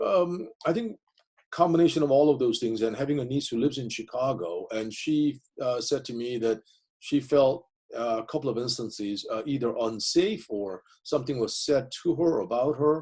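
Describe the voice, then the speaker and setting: At a moderate pace, a man speaks in a medium pitch with a dark, mellow tone and lively intonation. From South Korea, moved to US at 15. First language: Korean. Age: 50s. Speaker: professor. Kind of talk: interview. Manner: halting.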